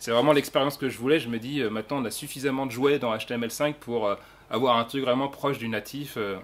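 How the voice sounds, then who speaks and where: A man at medium pitch speaking at a very fast pace. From France. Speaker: software developer speaker. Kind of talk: conference talk. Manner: animated, casual.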